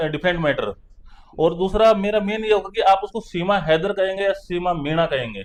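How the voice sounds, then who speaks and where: A man speaks with a Haryanvi accent in a high pitch. His intonation stays fairly even. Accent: Haryanvi, unchanged. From Haryana. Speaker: lawyer. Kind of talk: interview.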